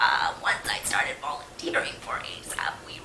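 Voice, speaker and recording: A woman whispering, with audible room echo and noticeable background noise. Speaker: peer research associate and women's health coordinator. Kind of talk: presentation. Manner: halting, many fillers.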